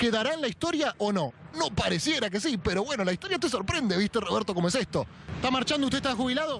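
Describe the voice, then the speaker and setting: Over noticeable background noise, a man speaks very fast in a Rioplatense accent at an extremely high pitch. His pitch swings very widely while his loudness stays very even. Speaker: comedic street reporter. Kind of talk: humorous street interviews. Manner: casual, joking.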